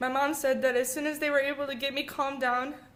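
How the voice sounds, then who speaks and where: A woman with an American accent speaks at a fairly quick pace in a high, monotone, flat voice. Audible room echo surrounds her. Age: 20s. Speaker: brain injury survivor, marine veteran. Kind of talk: personal testimony speech. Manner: halting, repeats words.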